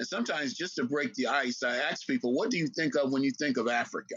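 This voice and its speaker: Talking at a very fast pace, a man with a fairly high voice and an American accent uses ordinary pitch variation. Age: 60s. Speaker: historian and lecturer. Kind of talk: interview.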